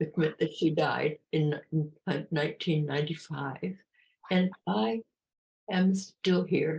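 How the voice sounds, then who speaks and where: Speaking at a fairly slow pace, a woman with an American accent has a very deep, low, somewhat breathy voice with ordinary pitch variation. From California. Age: 80s+. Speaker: author. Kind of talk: interview. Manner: halting.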